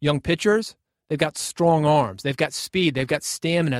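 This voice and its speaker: A man with a fairly high pitch and ordinary pitch variation speaks in an ordinary speaking voice. The recording is very clean, with a silent background and a dry, close sound with no echo. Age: 40s. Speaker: podcast host and radio host. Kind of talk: solo monologue podcast.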